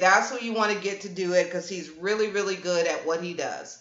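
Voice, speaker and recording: A woman speaks in an animated tone. There is audible room echo. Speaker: livestream host and event organizer. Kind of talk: casual livestream chat. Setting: live stream.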